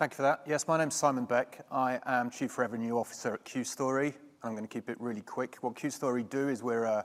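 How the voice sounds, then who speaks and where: In a very clean recording with a silent background, a man with a British accent talks at a very fast pace with hardly any pauses and fairly even intonation. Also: medium pitch for a man. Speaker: software company executive. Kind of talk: panel discussion.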